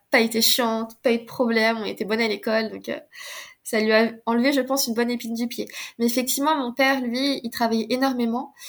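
Over a very clean recording with a silent background, a woman with a fairly high pitch speaks at a very fast pace in a monotone, flat intonation. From France. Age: 30s. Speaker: osteopath. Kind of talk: casual chat.

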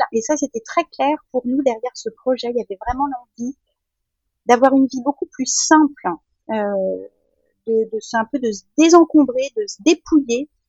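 High female voice with ordinary pitch variation, a fairly slow pace and long, frequent pauses. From France. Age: 50s. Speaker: mother planning family life at sea. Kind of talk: interview testimony. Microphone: poor microphone quality.

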